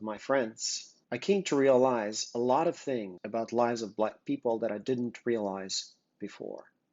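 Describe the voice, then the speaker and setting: A man with a Russian accent speaks at a medium pitch and a moderate pace. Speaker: business co-founder presenting interview project. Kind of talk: prepared video introduction. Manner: earnest.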